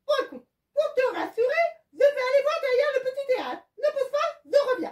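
This is a cartoonish character voice at an extremely high pitch. It moves at a moderate pace. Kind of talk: children's puppet show. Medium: puppet.

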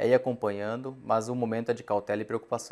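Very fast and monotone, a man talks at a fairly low pitch with flat intonation. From Mato Grosso, Brazil (raised in Sorriso); Mato Grosso, Brazil. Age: 30s. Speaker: farm association director; guest. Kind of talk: interview. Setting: studio. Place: studio. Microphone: lapel.

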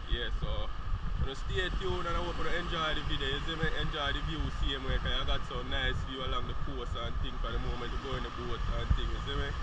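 A man at a very fast pace, dry sound with no echo, loud background noise. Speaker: vlogger. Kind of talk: casual vlog chat. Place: beach. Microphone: phone near.

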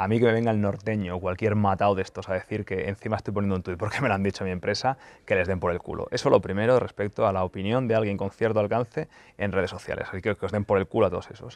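Delivered at a very fast pace, the speech has fairly even intonation and a dry sound with no echo. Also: man, fairly low pitch for a man. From Spain. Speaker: football YouTuber and journalist; football YouTuber, journalist. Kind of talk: casual Q&A video monologue. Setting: press centre lounge.

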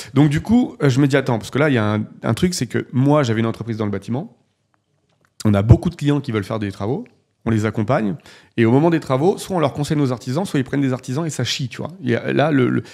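Against a quiet background, a dark, mellow voice races along at a very fast pace with lively intonation. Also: man. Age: 40s. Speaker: real estate investor and entrepreneur; podcast guest. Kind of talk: casual interview. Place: studio. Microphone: studio mic.

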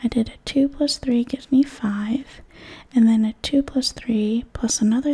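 A soft-spoken voice comes through against a quiet background. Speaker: math teacher. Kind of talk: tutorial. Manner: soft-spoken, quiet ASMR explaining voice.

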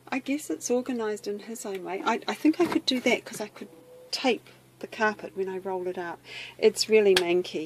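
Big swings in loudness at a moderate pace, over noticeable background noise. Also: woman. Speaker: vlogger. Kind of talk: casual vlog chat. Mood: playful, mildly exasperated. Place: garage. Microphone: phone near.

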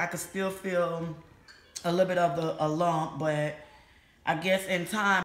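At a moderate pace, a woman with a fairly low pitch speaks amid audible room echo. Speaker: vlogger. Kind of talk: casual vlog chat. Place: home room. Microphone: phone near.

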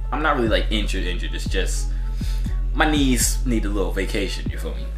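A man keeps up a fairly quick pace while clear music plays behind him. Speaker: fitness vlogger. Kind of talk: casual vlog chat. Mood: relaxed, joking. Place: home room. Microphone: phone near.

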